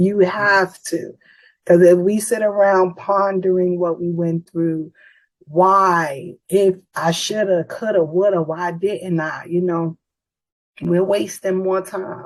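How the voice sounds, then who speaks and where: A woman with an American accent speaks at a very slow pace, her intonation fairly even. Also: medium pitch for a woman. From New York City, the Bronx. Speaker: author. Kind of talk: podcast interview.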